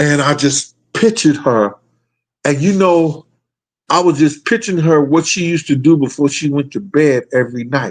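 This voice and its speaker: There is a quiet background as a man talks at a fairly high pitch and moderate pace, with ordinary pitch variation. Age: 60s. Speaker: hip-hop talk show host. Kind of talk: casual monologue.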